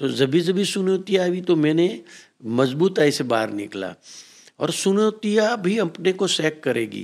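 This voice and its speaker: A man speaks with a high-pitched voice. The recording is very clean, with a silent background. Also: lively intonation. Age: 60s. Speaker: businessman. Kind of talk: motivational talk.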